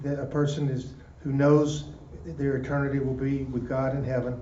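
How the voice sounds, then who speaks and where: Audible room echo and noticeable background noise surround a man's voice. He speaks at a moderate pace with fairly even intonation. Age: 60s. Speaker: prison ministry volunteer. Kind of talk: discussion. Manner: halting.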